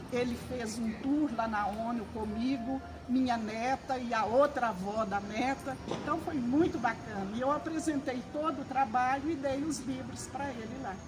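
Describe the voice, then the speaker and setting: Amid noticeable background noise and audible room echo, a woman speaks at a high pitch and a fairly slow pace, with ordinary pitch variation and hardly any pauses. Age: 70s. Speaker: retired educator and author, library volunteer. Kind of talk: interview.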